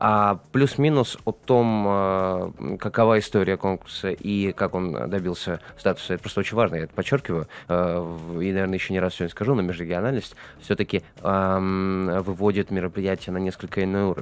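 Dry and free of echo, the recording captures a man with a very deep, low pitch. He speaks at a moderate pace with ordinary pitch variation. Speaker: radio and TV talk show host. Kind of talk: live studio interview. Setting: studio. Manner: verbose, talkative. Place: studio. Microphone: studio mic.

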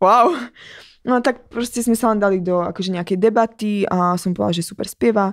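A woman speaks at a fairly quick pace on a very clean recording with a silent background. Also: ordinary pitch variation. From Slovakia. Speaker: singer and dancer. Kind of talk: interview.

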